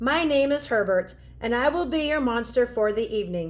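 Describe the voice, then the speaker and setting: Using a breathy, put-on character voice, a woman speaks at a moderate pace with a high pitch. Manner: polite, formal greeting.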